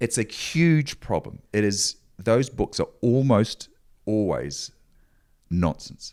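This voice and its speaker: A man with a New Zealand accent talks at medium pitch and a very slow pace, leaving long, frequent pauses. His intonation is lively and his loudness very even, on a very clean recording with a silent background. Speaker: motivational speaker and adventurer. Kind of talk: casual interview. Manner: halting.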